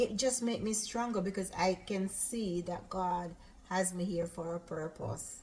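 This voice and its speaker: Someone with a Jamaican accent talks at a fairly slow pace. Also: woman, medium pitch for a woman, ordinary pitch variation. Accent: Jamaican, with patois. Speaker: cooking channel host. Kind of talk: casual chat. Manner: loud.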